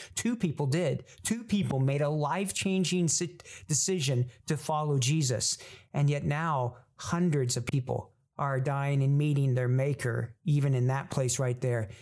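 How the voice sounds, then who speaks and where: Somewhat breathy, a man speaks at a fairly high pitch and moderate pace with ordinary pitch variation and very even loudness. The recording is very clean, with a silent background. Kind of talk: solo podcast talk, encouraging and sermon-like. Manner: halting, repeats words.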